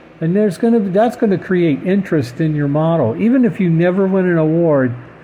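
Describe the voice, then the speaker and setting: A man with fairly high pitch over noticeable background noise. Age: 60s. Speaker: scale model car hobbyist vlogger. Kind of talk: casual monologue. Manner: halting, many fillers and repeats.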